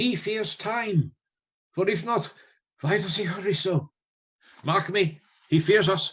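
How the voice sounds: In a put-on character voice, a man speaks slowly at a high pitch, with a fairly bright tone, a slightly husky edge and ordinary pitch variation.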